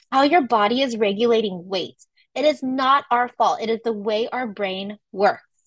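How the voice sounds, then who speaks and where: This woman speaks at a moderate pace with a West Coast US accent. Her fairly high voice has lively intonation and an animated tone. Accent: General American (West Coast). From California, San Francisco Bay Area. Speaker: wellness coach. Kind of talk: online workshop presentation. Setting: livestreamed video recording.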